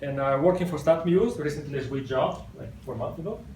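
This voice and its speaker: Over noticeable background noise and audible room echo, a man with an Italian accent speaks at a moderate pace with ordinary pitch variation. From Italy. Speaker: software developer, conference speaker. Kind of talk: technical talk. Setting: stage with audience.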